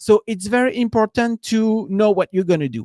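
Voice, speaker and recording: In a French accent, a man speaks with a high pitch. The sound is dry and close with no echo, a very clean recording over a silent background. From France. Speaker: business coach. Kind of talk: live stream talk. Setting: live stream. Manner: halting, many fillers.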